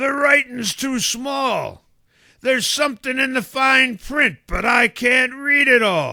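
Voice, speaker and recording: A man shouts in a put-on character voice, extremely high and gruff. He goes at a fairly slow pace. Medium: audio drama. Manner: gruff pirate speech, dropped letters.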